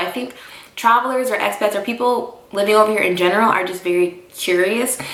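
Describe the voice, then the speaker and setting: An American accent from a woman with a fairly high voice, heard through audible room echo. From United States. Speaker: vlogger and expat English teacher. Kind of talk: casual vlog talk to camera. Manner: conversational with many fillers.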